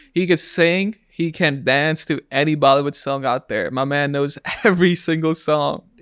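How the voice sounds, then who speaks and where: In a Pakistani accent, a man talks at a moderate pace with a fairly high pitch. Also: fairly even intonation. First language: Urdu. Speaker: podcast host. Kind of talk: casual chat. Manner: halting.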